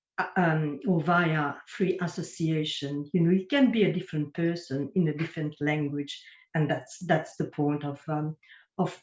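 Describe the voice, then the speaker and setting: A woman's very deep, low voice, somewhat breathy, with a French accent, ordinary pitch variation and a moderate pace. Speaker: writer and poet. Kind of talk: online panel interview. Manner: halting.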